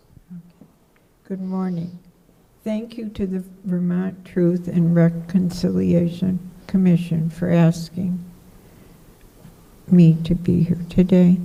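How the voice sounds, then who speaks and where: A woman with a somewhat breathy, fairly low voice speaks at a very slow pace with long, frequent pauses, monotone, flat intonation and big swings in loudness. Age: 80s+. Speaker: retired nurse giving testimony. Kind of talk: testimony.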